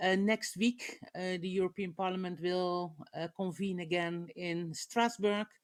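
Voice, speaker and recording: A woman with a Dutch accent, medium pitch and a fairly slow pace. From Netherlands. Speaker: politician. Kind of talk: panel discussion. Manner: halting, many filler sounds.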